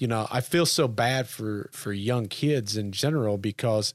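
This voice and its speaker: The recording is very clean, with a silent background. The pace is fairly slow, with ordinary pitch variation. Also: man. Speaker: podcast co-host. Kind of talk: casual chat. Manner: animated.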